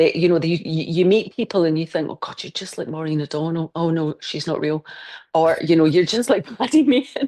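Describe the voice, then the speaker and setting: A woman with a Scottish accent speaks at a fairly quick pace. Her voice is fairly low, dark and mellow, with ordinary pitch variation. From Scotland. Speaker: crime novelist. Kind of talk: interview answer.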